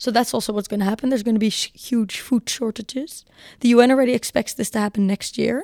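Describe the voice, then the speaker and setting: Over a very clean recording with a silent background and a dry, close sound with no echo, a woman with a dark, mellow tone and fairly high pitch speaks at a very fast pace with fairly even intonation. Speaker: climate activist and law student. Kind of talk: interview. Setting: university.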